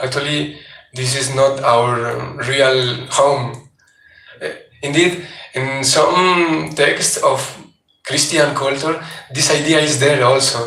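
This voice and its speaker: With long, frequent pauses and a very slow pace, a man with a non-native accent speaks at a fairly high pitch amid audible room echo. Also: fairly even intonation. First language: not English. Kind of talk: religious class lecture. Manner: halting.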